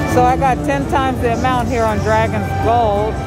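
Loud music plays in the background of this dry recording with no echo. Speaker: casino gambling vlogger. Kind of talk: casual vlog commentary. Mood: hopeful, mildly excited. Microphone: phone near.

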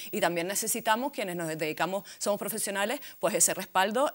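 The intonation is lively. The background is quiet. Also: woman. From Canary Islands. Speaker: feminist activist and spokesperson; spokesperson. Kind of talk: panel discussion. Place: studio. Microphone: lapel.

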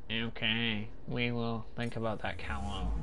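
Over loud background noise, a man delivers lines at a moderate pace in a put-on character voice. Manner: mocking.

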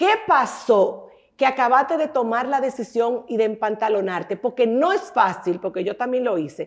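A woman's high voice, moving at a moderate pace with very wide pitch swings. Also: quiet background. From Dominican Republic. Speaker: radio and TV talk show host; radio, TV talk show host. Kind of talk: interview. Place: studio. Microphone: lapel.

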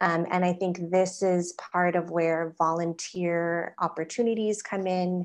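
A woman at a very slow pace, fairly low-pitched and monotone with flat intonation, against a quiet background. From Hawaii. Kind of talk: panel discussion. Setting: video call. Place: home room. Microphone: video call.

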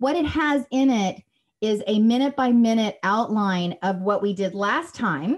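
Against a quiet background, a somewhat breathy woman talks at a fairly slow pace with ordinary pitch variation. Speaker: workshop host, PR coach. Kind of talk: workshop talk on a video call. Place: home room. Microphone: studio mic.

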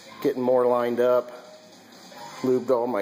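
A man speaks with clear music in the background. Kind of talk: casual vlog narration. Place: garage. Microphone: phone near.

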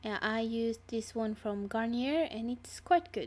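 At a fairly slow pace, a woman with a non-native accent speaks in a fairly high voice. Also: very clean recording, silent background. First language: not English. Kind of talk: makeup tutorial voiceover. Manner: casual, hesitant.

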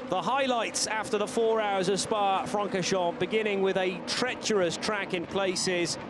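Over noticeable background noise, a man with a high pitch talks in an animated tone, with hardly any pauses and very even loudness. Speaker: race commentator. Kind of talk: race highlights commentary, recorded voiceover. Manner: fast, animated play-by-play; excitable, breathless at close calls.

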